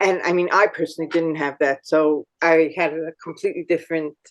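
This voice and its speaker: An ordinary speaking voice from a woman with an American accent, fairly low in pitch with fairly even intonation, comes at a moderate pace in dry, close sound with no echo. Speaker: podcast host. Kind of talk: interview.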